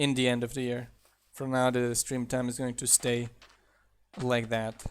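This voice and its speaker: A man's monotone, flat delivery at a moderate pace. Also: medium pitch for a man. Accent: slight German. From southern Germany. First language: German. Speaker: mod developer and streamer. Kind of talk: live game stream commentary. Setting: live stream. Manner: casual.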